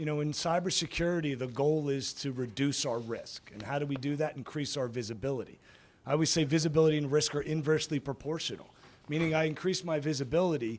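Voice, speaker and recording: Delivered at a very fast pace, the voice has big swings in loudness and ordinary pitch variation. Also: man. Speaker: cybersecurity leader. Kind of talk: panel discussion.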